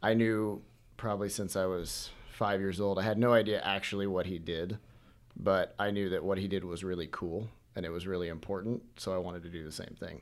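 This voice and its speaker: With an American accent, a man with an ordinary speaking voice talks at a fairly quick pace, fairly low in pitch, with fairly even intonation. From Washington, US Pacific Northwest. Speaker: medical student. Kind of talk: casual chat.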